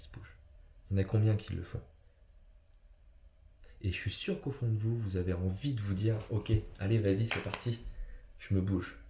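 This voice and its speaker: The man's dark, mellow tone carries fairly even intonation. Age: 30s. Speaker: personal development coach. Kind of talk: motivational talk. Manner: halting, many fillers.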